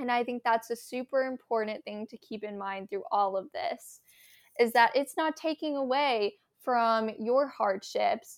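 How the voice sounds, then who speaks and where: A woman with an American accent and a high pitch speaks at a fairly slow pace, her loudness swinging widely while her pitch varies in an ordinary way. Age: young. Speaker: college student podcast co-host. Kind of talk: casual chat.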